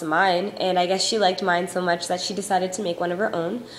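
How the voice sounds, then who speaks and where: A woman at medium pitch and a fairly quick pace over noticeable background noise. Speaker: YouTube vlogger. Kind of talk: casual vlog. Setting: home recording on iPod. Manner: fast.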